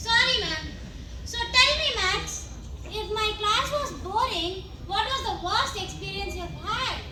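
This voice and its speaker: Put-on character voice from a woman, extremely high and fairly slow, with slight echo and loud background noise. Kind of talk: comic overacting. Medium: stage play. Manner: pompous, rambling.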